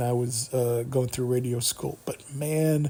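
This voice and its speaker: A somewhat breathy voice with ordinary pitch variation, speaking at a fairly slow pace. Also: man. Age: 40s. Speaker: solo radio-style YouTube host. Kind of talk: casual solo talk show monologue. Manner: halting, many repetitions and fillers; stutters and stammers at times.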